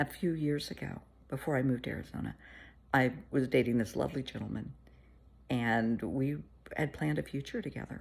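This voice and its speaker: Lively intonation, a warm tone and vocal fry at a moderate pace. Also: woman. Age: 60s. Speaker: therapist. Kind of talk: casual chat. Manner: warm, conversational.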